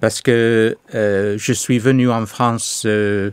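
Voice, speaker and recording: Speaking with a slight English accent, a man uses a fairly low pitch and a monotone, flat intonation. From England. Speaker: pastor. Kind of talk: testimony interview. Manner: halting, many hesitations.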